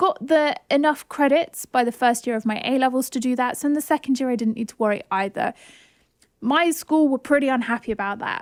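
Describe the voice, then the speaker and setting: The speaker has a southern English accent, a fairly quick pace and ordinary pitch variation. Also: woman. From southern England. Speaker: podcast host. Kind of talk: casual chat.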